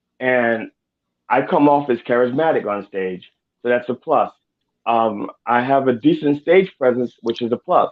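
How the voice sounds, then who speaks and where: In an unremarkable speaking voice, a man with an American accent talks at a moderate pace, his medium pitch showing ordinary pitch variation. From Baltimore, US. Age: 60s. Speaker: comedian. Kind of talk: interview.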